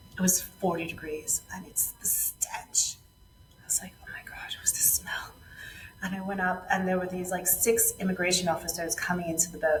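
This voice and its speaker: Noticeable background noise runs under a woman speaking at a moderate pace with big swings in loudness. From New York City. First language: Spanish. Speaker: former yacht chef and entrepreneur. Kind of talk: podcast interview. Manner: animated.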